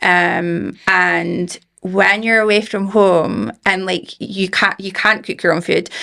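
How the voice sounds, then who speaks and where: This speaker talks at a very slow pace in a Scottish accent, with hardly any pauses. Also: woman. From Scotland, Aberdeen. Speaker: founder of a supplement business. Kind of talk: podcast interview.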